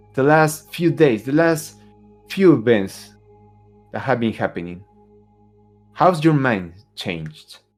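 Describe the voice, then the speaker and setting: A man's medium-pitched voice at a very slow pace, with very wide pitch swings and long, frequent pauses over music in the background. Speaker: game master narrating a tabletop horror RPG. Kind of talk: tabletop RPG game-master narration.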